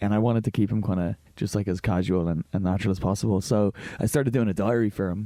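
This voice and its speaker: A man with an Irish accent speaks very fast in a fairly low, dark, mellow tone, with fairly even intonation, very even loudness, and a dry, close sound with no echo. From Ireland. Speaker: actor. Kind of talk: interview answer. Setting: studio. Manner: casual, hesitant.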